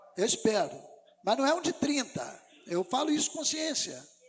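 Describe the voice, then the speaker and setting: Music plays in the background as a man talks at a moderate pace with very wide pitch swings. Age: 60s. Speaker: pastor. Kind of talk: sermon.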